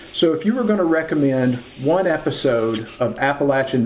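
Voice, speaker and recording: Noticeable background noise under a man's moderate-paced speech. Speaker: interviewer. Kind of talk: interview.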